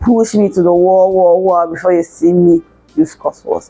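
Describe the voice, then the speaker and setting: A woman's medium-pitched voice keeps a moderate pace and ordinary pitch variation. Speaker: self-development vlogger. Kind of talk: casual advice talk to camera.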